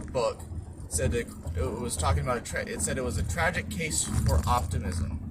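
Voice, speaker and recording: A man talks with a very deep, low pitch and ordinary pitch variation. Noticeable background noise and audible room echo are present. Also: moderate pace. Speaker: book review youtuber. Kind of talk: casual book synopsis vlog. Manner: halting, many fillers and restarts; casual, conversational.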